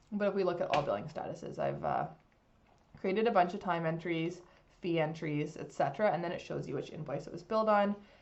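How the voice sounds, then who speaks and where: With audible room echo, a woman speaks very fast in a fairly low pitch, showing vocal fry and ordinary pitch variation. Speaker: legal software consultant. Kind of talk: software demo tutorial. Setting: screen recording. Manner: casual, many fillers.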